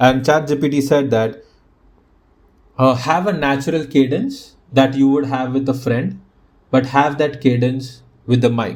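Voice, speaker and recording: In a room with audible echo, a man with a strong Indian accent speaks at a fairly slow pace and a fairly high pitch, with fairly even intonation and long, frequent pauses. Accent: thick Indian. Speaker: podcast host. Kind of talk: casual solo podcast talk. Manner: robotic cadence.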